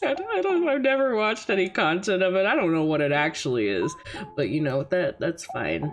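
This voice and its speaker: Over music in the background, a woman talks at a fairly quick pace in an animated tone, her loudness very even throughout. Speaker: vtuber streamer. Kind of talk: casual chat. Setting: livestream. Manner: normally peppy and animated, subdued today.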